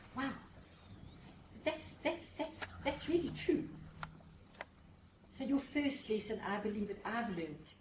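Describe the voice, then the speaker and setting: A high-voiced woman speaks at a fairly slow pace, her pitch swinging very widely, with long, frequent pauses. The recording has audible room echo and noticeable background noise. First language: not English. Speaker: professional speaker. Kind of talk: seminar talk. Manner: animated.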